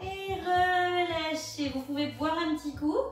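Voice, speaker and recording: A woman talks with ordinary pitch variation and audible room echo. Faint music plays in the background. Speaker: fitness instructor. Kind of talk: exercise class instruction. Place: home room. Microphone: camera far.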